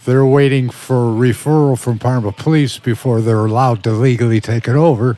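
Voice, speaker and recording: A man talks at a fairly quick pace with hardly any pauses, his medium-pitched voice dark and mellow. His intonation is fairly even and his loudness very even. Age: 70s. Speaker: bereaved father and advocate. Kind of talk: interview. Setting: studio.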